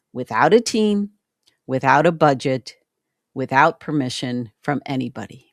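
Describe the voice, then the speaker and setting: A woman speaks at a fairly slow pace in an animated tone with very wide pitch swings, in a dry, close sound with no echo on a very clean recording with a silent background. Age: 60s. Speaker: YouTube educator and web designer. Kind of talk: casual vlog introduction. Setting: home office.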